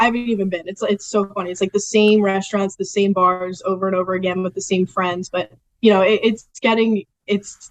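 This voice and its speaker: A woman at a fairly quick pace, in a strong Philadelphia accent. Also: medium pitch for a woman. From Philadelphia area, Delaware County, Pennsylvania. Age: 20s. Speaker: sports media production assistant. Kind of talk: casual interview. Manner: animated.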